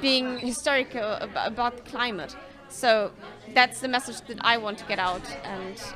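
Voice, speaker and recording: Over crowd noise in the background, a woman speaks at a fairly slow pace in a high pitch with ordinary pitch variation. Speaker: interviewee. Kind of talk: interview answer. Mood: calm, earnest. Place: cafe. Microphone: handheld.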